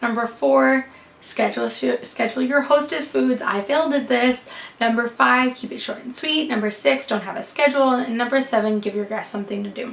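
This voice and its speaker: A woman with an American accent talks at a fairly quick pace, with big swings in loudness and noticeable background noise. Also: ordinary pitch variation. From US West Coast, Sonoma County, California. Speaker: wedding planner. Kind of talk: casual vlog tutorial. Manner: fast; casual, filler-heavy.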